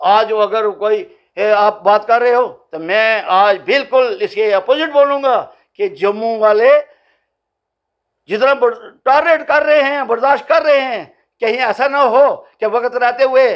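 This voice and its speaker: A man speaks at an extremely high pitch with lively intonation. His tone is passionate. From Jammu, India. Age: 70s. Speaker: regional political activist. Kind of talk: news interview. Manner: passionate, forceful.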